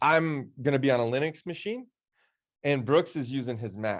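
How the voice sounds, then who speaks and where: A man talks in an animated tone with ordinary pitch variation. The background is quiet. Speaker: tech instructor. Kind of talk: live online training session. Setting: studio under lights, live stream. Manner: fast.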